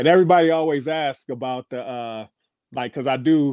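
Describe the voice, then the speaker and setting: A man talks in an ordinary speaking voice. His intonation stays fairly even. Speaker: DJ. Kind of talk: casual interview chat. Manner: laid-back, slangy.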